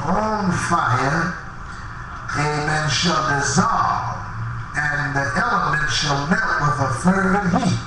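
A man's voice amid noticeable background noise and strong room echo. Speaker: Apostolic preacher. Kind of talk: tent revival sermon. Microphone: handheld.

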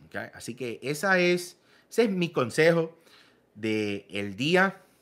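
A man's bright, sharp voice at a very slow pace, with very wide pitch swings, big swings in loudness, and long, frequent pauses against a quiet background. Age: 30s. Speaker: fitness coach. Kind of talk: vlog commentary. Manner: animated. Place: home room.

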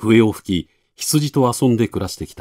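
A man with vocal fry and a dark, mellow tone talks at a fairly slow pace, the sound dry and close with no echo. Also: very clean recording, silent background. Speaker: narrator. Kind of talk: literary reading.

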